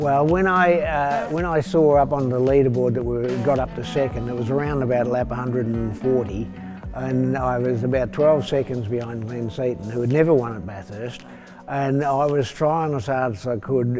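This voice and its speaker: A man talks with ordinary pitch variation while clear music plays in the background. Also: moderate pace. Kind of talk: interview answer. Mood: warm, amused storytelling. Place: garage. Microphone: lapel.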